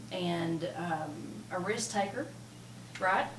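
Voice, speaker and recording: Audible room echo and noticeable background noise surround a woman as she speaks. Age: 50s. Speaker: podcast guest. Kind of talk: casual chat.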